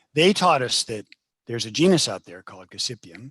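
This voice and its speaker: In an ordinary speaking voice, a man talks at a fairly quick pace with lively intonation, recorded with a dry, close sound with no echo. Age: 60s. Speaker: professor, plant geneticist. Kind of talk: lecture. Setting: video call.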